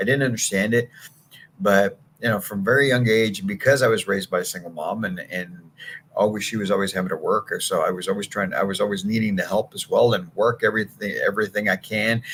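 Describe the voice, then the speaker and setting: The man's pitch sits fairly low, with ordinary variation. He talks at a very fast pace. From San Antonio, Texas. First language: Spanish. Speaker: sales coach. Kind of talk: motivational talk. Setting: live stream.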